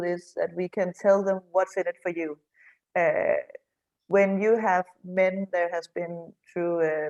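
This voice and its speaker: A woman speaks fairly slowly with a Danish accent, at a medium pitch. Her intonation is monotone and flat, in a dry, close sound with no echo. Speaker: men's shed association representative. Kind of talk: online panel discussion. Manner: halting.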